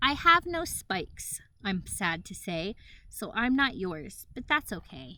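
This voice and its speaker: Soft-spoken and slow-paced, a woman uses a put-on character voice at a fairly high pitch with very wide pitch swings. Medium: read story. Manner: soft and sweet.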